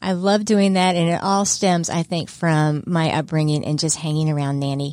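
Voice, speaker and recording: A woman speaks in an unremarkable speaking voice, fairly low in pitch, with lively intonation at a moderate pace. The recording is very clean, with a silent background. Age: 50s. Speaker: senior services manager, former radio presenter. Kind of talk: radio interview. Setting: studio. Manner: chatty.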